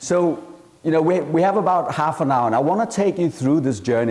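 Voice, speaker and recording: A man speaks in a strong Danish accent at a fairly quick pace, his pitch swinging very widely. Noticeable background noise and audible room echo fill the recording. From Denmark. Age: 40s. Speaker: entrepreneur and venture capitalist. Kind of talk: conference talk.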